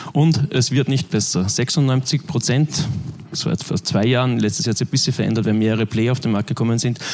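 The loudness is very even throughout. Background noise is noticeable. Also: man, medium pitch for a man, ordinary pitch variation, fairly quick pace. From Austria (Linz, Upper Austria). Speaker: media tech manager. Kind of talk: conference talk.

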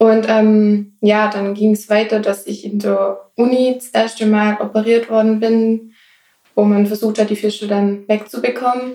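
A woman with a normal speaking voice talks at a fairly slow pace. Her pitch is fairly high. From Swabia, Germany. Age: 20s. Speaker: ostomy patient. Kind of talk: casual interview.

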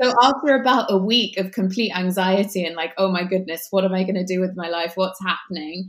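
The speech moves at a fairly quick pace with ordinary pitch variation and hardly any pauses. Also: woman, medium pitch for a woman. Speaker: life coach. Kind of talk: casual chat. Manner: warm.

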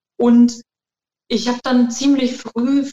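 Speaking very slowly, a woman uses a fairly high pitch, and the sound is dry and close with no echo. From Germany. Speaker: qigong trainer and alternative practitioner. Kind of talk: interview.

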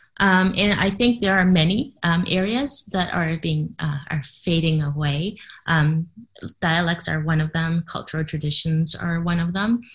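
Her voice fairly low and somewhat breathy, a woman speaks at a fairly slow pace with ordinary pitch variation. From Canada. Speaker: entrepreneur and cognitive psychologist. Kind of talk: interview. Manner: hesitant, many fillers.

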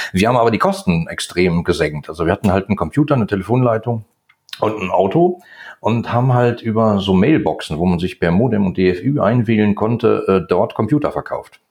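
In a normal speaking voice, a man talks at a fairly quick pace with a fairly low pitch and lively intonation. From Ruhr area, Germany. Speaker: chemist and e-commerce entrepreneur. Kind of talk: casual interview chat.

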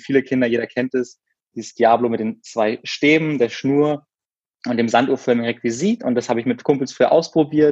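A man with a normal speaking voice talks at a fairly quick pace and medium pitch. His intonation is fairly even, and the sound is dry and close with no echo. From Berlin, Germany. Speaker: former circus performer and videographer. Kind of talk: podcast interview.

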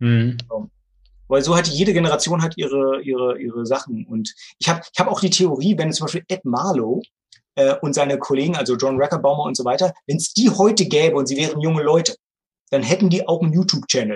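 A man speaks at a very fast pace in a fairly high pitch, somewhat breathy. His intonation is lively. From Brandenburg, Germany (Bernau near Berlin). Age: 40s. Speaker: magician and magic theater owner. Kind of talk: casual podcast interview.

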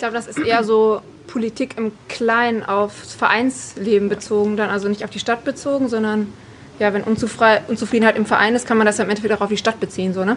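This woman uses a normal speaking voice at a fairly quick pace. Her pitch is fairly high and her intonation fairly even. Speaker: women's football player. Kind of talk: group interview.

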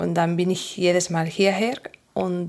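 Fairly even intonation with a Spanish accent. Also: woman. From Asturias, northern Spain. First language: Spanish (speaking German). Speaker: physiotherapist. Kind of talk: interview. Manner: halting.

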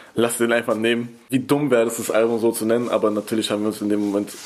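A man's very fast, monotone, flat delivery against noticeable background noise. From Berlin, Germany. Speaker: rapper. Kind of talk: interview.

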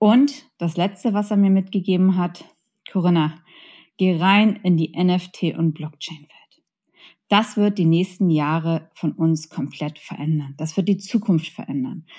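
Somewhat breathy and dark, mellow in tone, a woman's fairly low voice moves at a fairly slow pace with ordinary pitch variation on a very clean recording with a silent background. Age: 40s. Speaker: podcast host and entrepreneur. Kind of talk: solo podcast monologue. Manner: animated.

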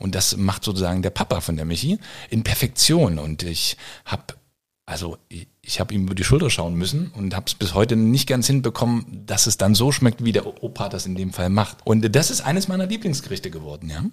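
A man talks at a fairly quick pace with a fairly low pitch. His voice is somewhat breathy, with lively intonation. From eastern Germany (former GDR). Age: 40s. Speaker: firefighter and chef. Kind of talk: casual interview. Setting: at his home.

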